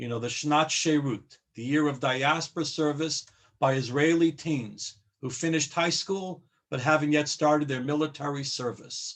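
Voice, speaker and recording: A normal speaking voice at a moderate pace. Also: man. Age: 60s. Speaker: rabbi. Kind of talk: panel discussion. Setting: video call.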